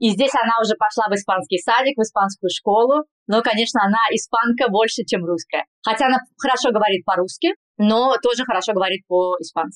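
At a fairly quick pace, a woman with a slight Spanish accent speaks at a fairly high pitch with ordinary pitch variation and very even loudness, in a dry, close sound with no echo. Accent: slight Spanish accent in Russian. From Kazan, Russia. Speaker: general practitioner. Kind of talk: casual interview. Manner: careful enunciation.

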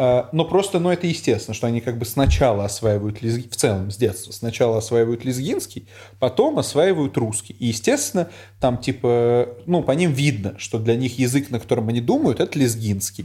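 A man's dark, mellow voice, somewhat breathy, with lively intonation. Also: medium pitch for a man, moderate pace. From Uzbekistan. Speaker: teacher. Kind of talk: casual chat.

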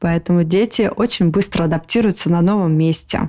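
A woman speaks at a moderate pace in a fairly low pitch, with an unremarkable speaking voice. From Moscow, Russia. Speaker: podcast co-host. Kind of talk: casual chat.

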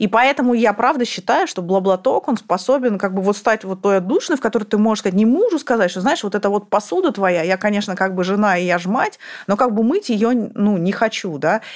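With an ordinary speaking voice, a woman talks at a fairly quick pace and medium pitch, her pitch varying in an ordinary way. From Kazakhstan, Almaty. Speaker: former bank CEO. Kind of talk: casual interview.

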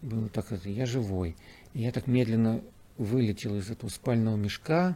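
At a moderate pace, a man's voice comes through in a dark, mellow tone. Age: 60s. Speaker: cosmonaut. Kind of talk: interview. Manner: halting.

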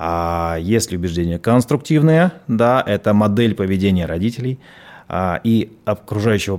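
In a very clean recording with a silent background, a man with a fairly low pitch uses a plain, everyday voice with ordinary pitch variation. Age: 40s. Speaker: psychologist and tantra workshop leader. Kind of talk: radio interview.

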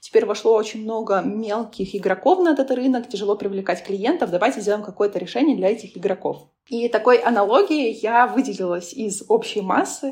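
Talking at a fairly quick pace with hardly any pauses, a woman uses a fairly high pitch and ordinary pitch variation. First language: not Russian (speaking Russian). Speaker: business analytics consultant and lecturer. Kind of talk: casual interview.

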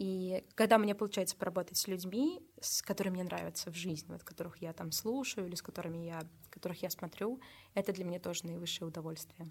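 A woman talks at a very fast pace with a medium pitch. Her intonation is fairly even, and her voice is somewhat breathy. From Russia, Nizhny Novgorod region. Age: 20s. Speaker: social media manager and photographer. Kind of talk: casual interview chat.

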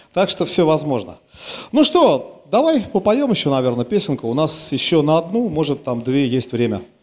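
A man speaks at a fairly high pitch with very wide pitch swings. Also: moderate pace. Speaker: radio host. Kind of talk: live concert broadcast with interviews. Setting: club stage.

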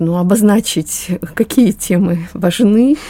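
Speaking at a very slow pace with ordinary pitch variation, a woman is heard against noticeable background noise. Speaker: expert on family education. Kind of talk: panel discussion.

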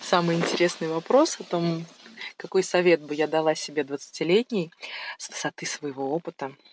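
A woman with a normal speaking voice talks at a moderate pace and a fairly low pitch. Her pitch varies in an ordinary way, while her loudness swings widely. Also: dry, close sound with no echo. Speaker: mother of three, medic. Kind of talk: recorded monologue answering questions.

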